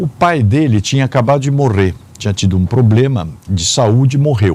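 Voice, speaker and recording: The voice has a dark, mellow tone, somewhat breathy, with lively intonation at a moderate pace. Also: man, medium pitch for a man. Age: 60s. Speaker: businessman and public administrator. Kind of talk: interview. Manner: hesitant fillers.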